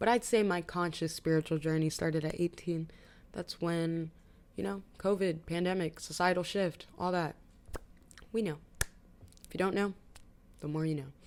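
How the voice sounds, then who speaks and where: A woman with a fairly low pitch and ordinary pitch variation speaks with long, frequent pauses. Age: 20s. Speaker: vlogger. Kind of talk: casual chat. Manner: fast; animated.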